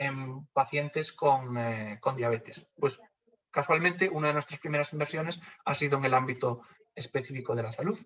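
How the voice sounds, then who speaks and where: In a Galician accent, a man talks at a moderate pace. His voice is fairly high, with ordinary pitch variation. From Galicia, Spain. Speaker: funding community manager. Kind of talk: webinar presentation. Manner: hesitant, many fillers.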